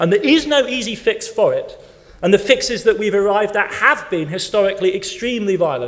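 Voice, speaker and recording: A man talks at a fairly quick pace. He speaks with an English accent. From West Germany (English-born). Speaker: historian, keynote speaker. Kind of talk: conference Q&A answer. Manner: animated, halting with repetitions.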